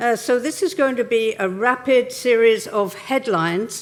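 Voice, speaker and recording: Speaking in an English accent, a woman uses a fairly high pitch. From England. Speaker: keynote speaker on regenerative tourism. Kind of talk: conference keynote talk.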